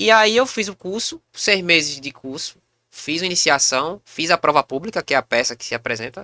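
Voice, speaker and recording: A man's high, bright, sharp voice with very wide pitch swings at a moderate pace, dry and close with no echo, in a very clean recording with a silent background. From Pernambuco, Brazil (Recife area). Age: 30s. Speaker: comedian and actor. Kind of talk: casual podcast interview.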